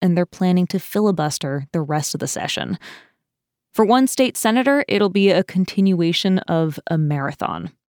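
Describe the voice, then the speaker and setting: A normal speaking voice with lively intonation moves at a moderate pace, captured on a very clean recording with a silent background and a dry, close sound with no echo. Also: woman. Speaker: news podcast host. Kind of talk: news reading. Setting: studio. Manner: formal, steady, clear newsreader delivery; brisk, polished.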